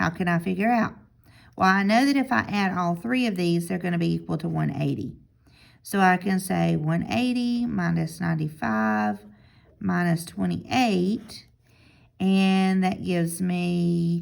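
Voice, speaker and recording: A woman speaks at a fairly low pitch and a fairly slow pace, her pitch swinging very widely. The recording is very clean, with a silent background. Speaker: math teacher. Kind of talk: recorded lesson review.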